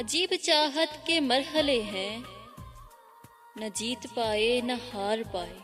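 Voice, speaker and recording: Lively intonation comes through with music in the background. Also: woman, high pitch for a woman. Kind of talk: poetry reading. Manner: emotional.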